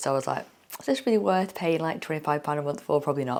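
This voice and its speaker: A woman with a southern English accent speaks at a very deep, low pitch with ordinary pitch variation. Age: 40s. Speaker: fitness vlogger. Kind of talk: vlog. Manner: casual.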